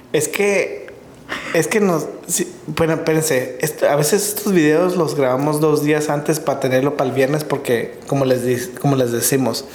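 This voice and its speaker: At a moderate pace, a man speaks with a fairly high pitch, ordinary pitch variation and very even loudness. Audible room echo and noticeable background noise are present. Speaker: podcast co-host, husband of the other host. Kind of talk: casual chat.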